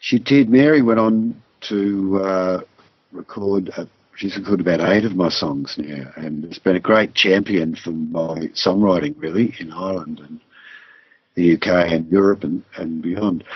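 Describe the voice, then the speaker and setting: A man's very deep, low voice with an Australian accent, ordinary pitch variation and a fairly slow pace. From southwest Victoria, Australia. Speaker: singer-songwriter. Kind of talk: interview. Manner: halting.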